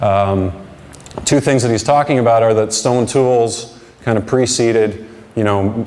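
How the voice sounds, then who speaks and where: A man speaks with fairly even intonation amid noticeable background noise and audible room echo. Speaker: conference speaker, digital marketing strategist. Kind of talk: conference talk. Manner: halting, repeats words.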